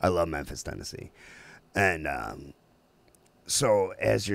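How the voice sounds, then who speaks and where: Vocal fry in a very clean recording with a silent background. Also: man. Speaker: podcast host. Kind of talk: casual chat. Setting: studio, livestreamed. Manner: halting, filler-heavy.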